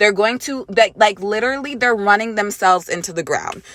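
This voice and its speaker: The woman's voice sits at a fairly high pitch. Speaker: gaming YouTuber. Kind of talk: vlog rant. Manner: loud; hesitant fillers.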